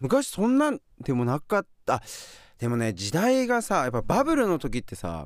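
A man talks at a moderate pace with a high pitch and very wide pitch swings. The recording is very clean, with a silent background. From Hokkaido, Furano. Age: 40s. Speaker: professional skier. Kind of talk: casual chat. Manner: animated.

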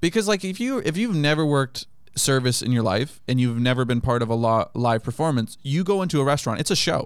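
A man's normal speaking voice with an American accent, medium-pitched with lively intonation, in a very clean recording with a silent background. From grew up abroad as a US military child (Japan, Kenya, Germany, Turkey, US). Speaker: comedian. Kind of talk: casual chat. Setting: studio.

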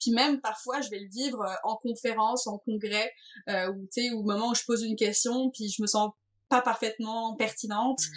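Fairly high-pitched woman's voice, moderately paced, fairly even intonation. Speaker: video game designer. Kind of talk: interview.

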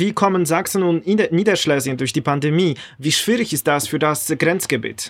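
With a Polish accent, a man speaks at a moderate pace and high pitch, using ordinary pitch variation and hardly any pauses, in a very clean recording with a silent background. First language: Polish (speaking German). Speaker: podcast host. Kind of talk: interview.

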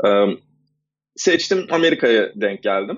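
Pitched at a medium level, a man speaks at a moderate pace with very wide pitch swings. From Istanbul, Turkey. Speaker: freelance designer. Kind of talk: interview. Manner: halting.

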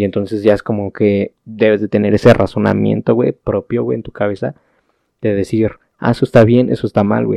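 A man with a Mexican accent, fairly low pitch and a dark, mellow tone, at a fairly quick pace with ordinary pitch variation, in a dry, close sound with no echo. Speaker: podcast co-host. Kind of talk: casual chat.

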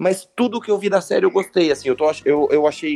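In a dry, close sound with no echo, a man with an unremarkable speaking voice talks at a fairly quick pace with lively intonation. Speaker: pop culture podcast co-host. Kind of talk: casual chat.

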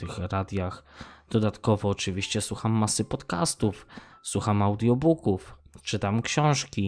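A man speaks at a fairly slow pace in an unremarkable speaking voice. His voice is fairly low, with ordinary pitch variation. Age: 30s. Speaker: podcaster. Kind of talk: casual monologue.

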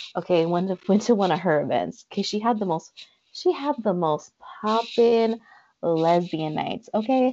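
This woman has an ordinary speaking voice at a medium pitch. She talks at a moderate pace with lively intonation. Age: 20s. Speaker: podcast co-host, psychology student. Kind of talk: casual chat.

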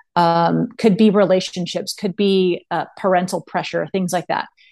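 With music in the background, a woman speaks at a moderate pace in a medium-pitched voice and fairly even intonation. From Texas (Austin). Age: 40s. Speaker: mental performance coach and former volleyball player. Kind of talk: casual interview chat.

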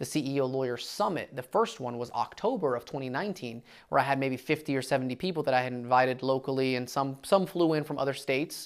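The recording is very clean, with a silent background. Speech runs at a very fast pace with hardly any pauses. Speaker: lawyer and podcast host. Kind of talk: casual chat.

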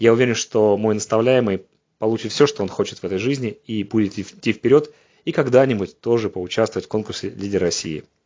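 Fairly quick in pace, a man with a plain, everyday voice speaks at medium pitch with ordinary pitch variation. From Russia, Saint Petersburg. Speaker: head physician. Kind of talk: prepared testimonial address.

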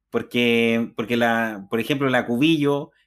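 A man speaks with a Chilean accent. The recording is very clean, with a silent background. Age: 30s. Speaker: podcast host. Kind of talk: casual chat.

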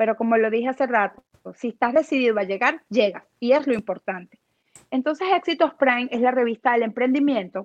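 At a fairly quick pace, a woman speaks in a high pitch with ordinary pitch variation, in a dry, close sound with no echo. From Venezuela, Aragua state (Cagua). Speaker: motivational speaker and magazine founder. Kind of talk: interview.

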